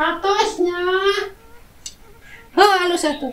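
Using a put-on character voice, a woman squeaks at an extremely high pitch. She speaks very slowly, and an echo is audible. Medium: comedy sketch. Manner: sugary, affected posh.

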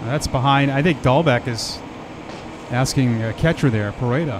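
Amid noticeable background noise, a man speaks at a moderate pace and medium pitch, with ordinary pitch variation and long, frequent pauses. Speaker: baseball broadcaster. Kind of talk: live sports commentary, relaxed play-by-play with analysis. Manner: conversational, casual.

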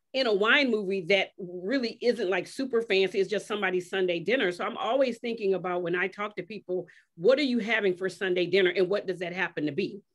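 With an American accent and lively intonation, a woman talks at a very fast pace against a quiet background. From US South. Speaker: wine industry advocate and writer; panelist, moderator. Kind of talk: keynote then panel moderation. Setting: video call. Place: home room. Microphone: video call.

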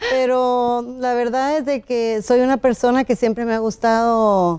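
A woman's dark, mellow tone at a fairly slow pace. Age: 60s. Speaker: law graduate; interview guest. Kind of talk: TV interview. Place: studio. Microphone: lapel.

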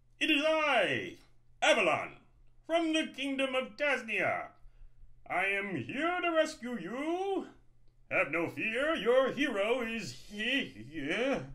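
Delivered at a very slow pace, a put-on character voice swings very widely in pitch. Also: man, extremely high pitch for a man. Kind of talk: formal, declamatory. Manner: heroic, grandiose.

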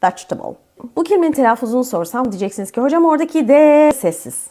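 A woman with a dark, mellow tone speaks at a moderate pace, her pitch swinging very widely. The recording is very clean, with a silent background. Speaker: English teacher. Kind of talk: tutorial.

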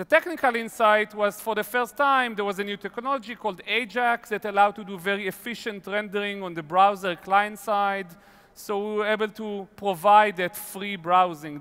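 A man's raised, projected voice at a moderate pace, with hardly any pauses and ordinary pitch variation. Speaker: keynote speaker. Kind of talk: keynote talk. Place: stage. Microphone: headset.

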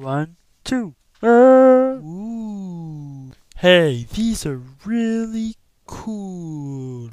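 A put-on character voice at a middle pitch, very slow, with long, frequent pauses. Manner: eager, wide-eyed.

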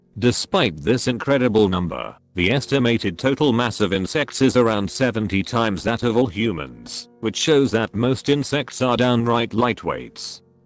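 With music in the background and a dry sound with no echo, a man speaks at a moderate pace with hardly any pauses. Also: ordinary pitch variation. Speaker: narrator. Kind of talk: educational narration.

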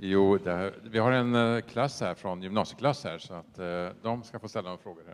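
Using a plain, everyday voice, a man talks at a moderate pace with a fairly low pitch, ordinary pitch variation and big swings in loudness. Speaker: event program host; panel moderator. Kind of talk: event introduction. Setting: stage with audience. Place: hall. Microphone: handheld.

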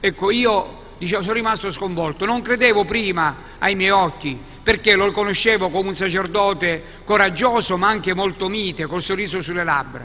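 A raised, projected voice at a moderate pace, fairly even in intonation, with noticeable background noise. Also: man. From Sicily. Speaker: archbishop. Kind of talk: book presentation talk.

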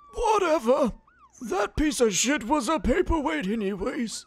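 This man speaks at a moderate pace with an extremely high pitch. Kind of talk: abridged-series comic overacting. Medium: fan dub. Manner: profane, ranting, shouting.

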